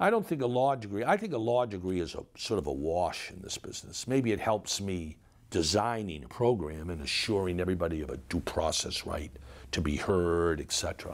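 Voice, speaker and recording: Speaking at a moderate pace, a man with a very deep, low voice uses lively intonation. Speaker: interview guest. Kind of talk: interview answer. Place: home room.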